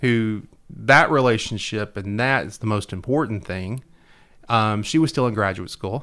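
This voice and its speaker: The man's tone is bright and sharp. He speaks at a medium pitch. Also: ordinary pitch variation, moderate pace. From Middle Tennessee (Hendersonville). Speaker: local politician. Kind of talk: radio interview. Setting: radio studio.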